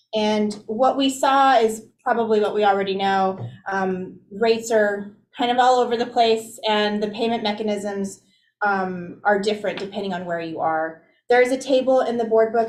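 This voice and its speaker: A woman at a moderate pace with fairly even intonation, in audible room echo. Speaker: commission staff member. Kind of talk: board meeting report. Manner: loud.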